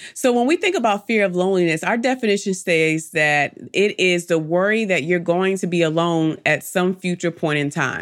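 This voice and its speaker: A woman's animated, fairly low-pitched voice at a moderate pace, with ordinary pitch variation, very even loudness and hardly any pauses, on a very clean recording with a silent background. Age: 30s. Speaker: faith-based motivational podcast host. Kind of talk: inspirational podcast monologue.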